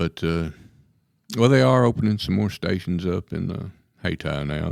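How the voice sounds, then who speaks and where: A man talks at a fairly quick pace with lively intonation. His voice has some vocal fry. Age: 60s. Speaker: county sheriff. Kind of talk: radio interview.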